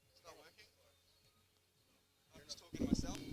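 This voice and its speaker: Over noticeable background noise, a man speaks fairly quickly. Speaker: sports commentator. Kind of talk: live commentary. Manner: loud. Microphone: too quiet.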